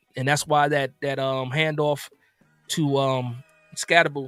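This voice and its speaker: Music plays in the background as a man speaks with an American accent. His fairly high pitch comes through in a dry, close sound with no echo. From New Jersey, with summers in Alabama. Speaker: sports streamer. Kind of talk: casual live stream chat. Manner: animated.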